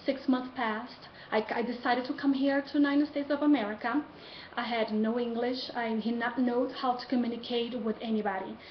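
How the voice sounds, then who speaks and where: With a Brazilian Portuguese accent, a woman speaks at a moderate pace and high pitch with fairly even intonation over noticeable background noise. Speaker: college student. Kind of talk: class speech assignment, personal story. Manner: halting.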